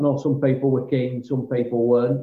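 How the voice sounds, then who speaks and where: Speaking at a fairly quick pace in a Lancashire accent, a man keeps a medium pitch and a monotone, flat intonation. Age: 30s. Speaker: amateur cricketer. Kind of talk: casual chat.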